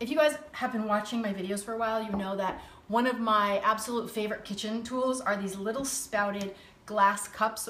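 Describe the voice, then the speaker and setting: A woman talks at a fairly quick pace. Audible room echo and light background noise accompany her. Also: fairly even intonation. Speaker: cooking show host. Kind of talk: live-stream cooking chat. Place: kitchen. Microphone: phone near.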